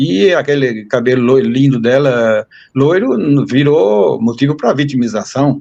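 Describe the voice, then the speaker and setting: Keeping very even loudness, a man speaks at a fairly slow pace with a medium pitch and ordinary pitch variation. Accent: northeastern Brazilian. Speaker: university professor. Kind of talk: interview conversation.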